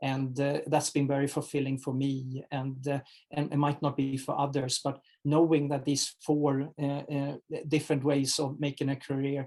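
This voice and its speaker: With a non-native accent, this speaker uses a dark, mellow tone and flat, monotone intonation at a moderate pace. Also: man, fairly high pitch for a man. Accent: foreign accent, noticeable. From Sweden. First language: Swedish. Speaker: HR executive. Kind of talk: interview. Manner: halting, many fillers.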